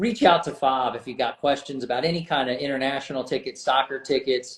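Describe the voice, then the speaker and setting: With an American accent, a man speaks at a fairly high pitch and a fairly quick pace. He uses a normal speaking voice with ordinary pitch variation. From United States. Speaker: podcast host. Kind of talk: casual interview.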